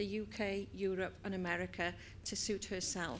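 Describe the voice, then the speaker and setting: A woman speaks with a Welsh accent at a medium pitch. She talks at a fairly slow pace. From Wales. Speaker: business trainer and HR professional. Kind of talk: inspirational talk.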